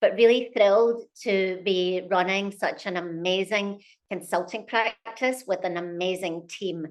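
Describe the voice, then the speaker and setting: Speaking at a fairly slow pace, a woman with a Scottish accent uses a medium pitch and fairly even intonation. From Scotland. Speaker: company CEO. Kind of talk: interview.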